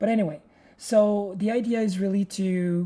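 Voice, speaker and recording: With a French accent, a woman speaks at a medium pitch with a dark, mellow tone. Her pace is fairly slow and her intonation fairly even. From France or French-speaking region. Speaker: hardware designer and programmer. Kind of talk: live-stream programming tutorial. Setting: live stream. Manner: halting, many repetitions.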